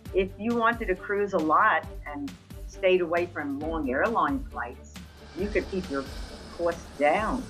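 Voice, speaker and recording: Faint music sits in the background. The speaker uses lively intonation at a fairly slow pace. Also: woman, fairly low pitch for a woman. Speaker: retired frequent cruise passenger. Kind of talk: interview answer. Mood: cheerful, enthusiastic. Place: home room. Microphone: webcam.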